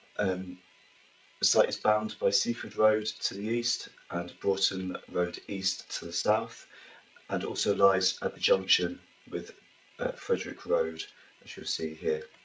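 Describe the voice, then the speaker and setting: Against noticeable background noise, a man speaks at a fairly slow pace with long, frequent pauses and big swings in loudness. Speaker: planning officer. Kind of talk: formal presentation at council meeting. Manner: formal.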